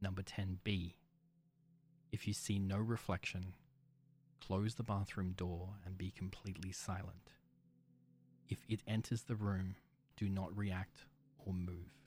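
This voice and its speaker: Somewhat breathy and monotone with flat intonation, the voice moves at a fairly slow pace with long, frequent pauses. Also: man, very deep, low pitch for a man. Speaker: horror story narrator. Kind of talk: creepypasta horror narration, first-person, read aloud in a hushed, ominous tone. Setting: studio. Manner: slow, deliberate, suspenseful.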